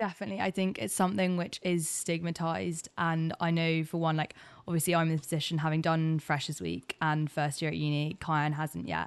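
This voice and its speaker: A normal speaking voice moves at a fairly quick pace with fairly even intonation and hardly any pauses over a quiet background. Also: woman, fairly low pitch for a woman. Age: 20s. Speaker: student podcast co-host. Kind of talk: casual chat.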